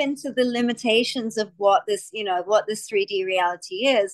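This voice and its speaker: A woman's fairly high, fairly quick voice with an Australian accent. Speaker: podcast host. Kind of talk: interview conversation. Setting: video call.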